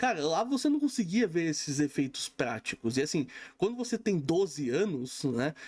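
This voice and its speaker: A man with a plain, everyday voice talks at a moderate pace with lively intonation. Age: 30s. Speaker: film reviewer. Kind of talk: casual film review monologue. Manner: casual, conversational with frequent fillers.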